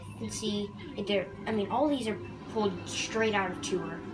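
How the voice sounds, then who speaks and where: Audible room echo and noticeable background noise around a woman speaking at medium pitch. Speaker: gaming youtuber. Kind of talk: video game commentary. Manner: halting, with many fillers.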